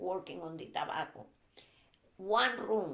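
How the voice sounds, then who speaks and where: A woman with a Spanish accent talks at a fairly slow pace and a medium pitch. Her intonation is lively, and vocal fry comes through. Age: 80s. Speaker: Cuban immigrant interviewee. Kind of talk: family interview. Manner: halting, hesitant English.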